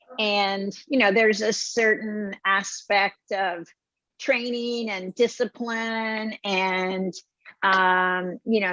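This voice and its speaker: Against a quiet background, a woman talks at a very slow pace. Her pitch is medium and her intonation fairly even. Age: 70s. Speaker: restaurant founder. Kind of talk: interview.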